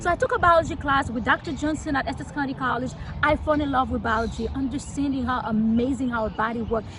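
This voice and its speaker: A woman with a Haitian accent talks at a fairly quick pace in a high voice with ordinary pitch variation, over noticeable background noise. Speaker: local politician. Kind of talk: interview. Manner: fast.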